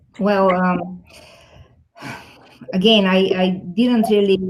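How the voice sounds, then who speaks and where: The speech comes at a very slow pace with monotone, flat intonation. Audible room echo surrounds the voice. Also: woman, long, frequent pauses, very even loudness. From Bulgaria. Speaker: technology executive. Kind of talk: interview.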